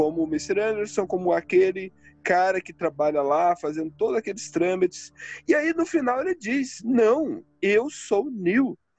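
Here a man talks at a high pitch and a fairly slow pace. His pitch swings very widely. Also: dry, close sound with no echo. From Brazil, Northeast. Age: 30s. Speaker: podcast host. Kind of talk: casual chat.

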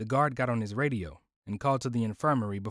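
In a quiet background, someone reads aloud in a natural voice with ordinary pitch variation.

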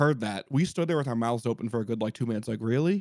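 An unremarkable speaking voice, a man's at medium pitch with an American accent and ordinary pitch variation, in a dry, close sound with no echo. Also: very clean recording, silent background. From US Northeast, New York tri-state area. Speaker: sports podcast host. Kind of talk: casual chat. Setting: studio, streamed live.

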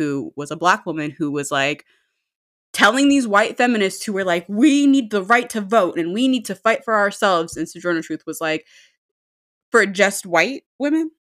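The woman's pitch swings very widely as she talks at a moderate pace. The recording is very clean, with a silent background. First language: not English. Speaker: podcast co-host. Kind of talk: casual chat.

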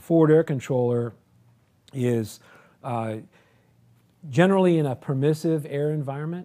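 Heard in a very clean recording with a silent background, a man with an American accent has a dark, mellow tone and a fairly high pitch. He talks at a moderate pace with ordinary pitch variation and long, frequent pauses. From military family, southeastern US and Europe. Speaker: retired air force colonel and test pilot. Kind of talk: interview.

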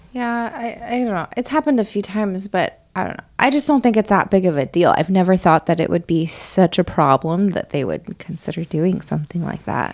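In a normal speaking voice, a woman with a medium pitch talks at a fairly quick pace with lively intonation. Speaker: podcast co-host and mother. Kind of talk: casual family chat.

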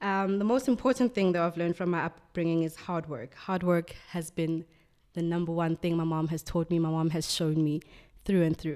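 With a South African accent, a woman talks in a fairly low pitch with a dark, mellow tone and ordinary pitch variation, captured in a very clean recording with a silent background. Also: moderate pace. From South Africa, Soweto. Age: 20s. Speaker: magazine art director. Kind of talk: interview.

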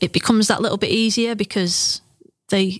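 A woman with an English accent talks at a fairly quick pace in a monotone, flat intonation, the sound dry and close with no echo. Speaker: football coach developer. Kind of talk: interview. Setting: studio.

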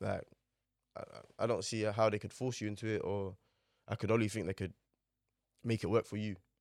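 A man with a London accent speaks at a fairly quick pace, fairly low in pitch and with monotone, flat intonation, yet with long, frequent pauses. The very clean recording has a silent background and a dry, close sound with no echo. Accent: London Multicultural English. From London, Newham (East London). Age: 20s. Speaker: fashion model. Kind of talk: casual interview.

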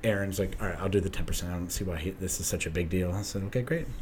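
A man with a fairly low pitch talks amid audible room echo. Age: 30s. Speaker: former police officer. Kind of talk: casual chat.

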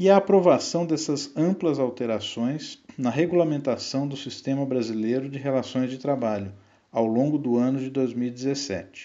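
An ordinary speaking voice from a man, medium in pitch, with ordinary pitch variation and a fairly slow pace. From Brazil, São Paulo. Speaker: economist and union adviser. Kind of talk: scripted narration. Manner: formal.

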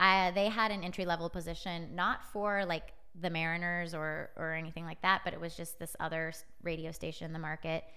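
A woman with an American accent, bright and sharp in tone, at a moderate pace. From US Pacific Northwest, Edmonds near Seattle. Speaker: sports media startup CEO. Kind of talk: casual interview. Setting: studio.

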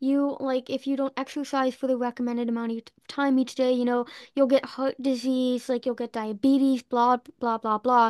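A woman speaks at a moderate pace in a high, monotone, flat voice. The sound is dry and close with no echo, and the background is quiet. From US Northeast, Boston. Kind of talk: interview storytelling.

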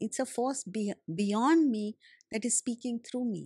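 In a dry, close recording with no echo, a woman speaks at a moderate pace with a fairly high pitch, a dark, mellow tone, ordinary pitch variation and a somewhat breathy quality. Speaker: spiritual teacher and speaker. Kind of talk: interview.

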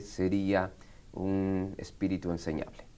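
Very slowly, a man speaks at a fairly low pitch. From Argentina, Buenos Aires (born in Quito, Ecuador). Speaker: pastor. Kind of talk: interview.

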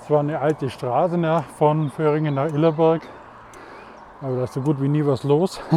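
The speech moves at a fairly quick pace in a monotone, flat intonation, broken by long, frequent pauses. Background noise is noticeable. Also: man, fairly high pitch for a man. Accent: Swabian. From Swabia, Germany. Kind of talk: casual monologue. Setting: outdoors, riding a mountain bike.

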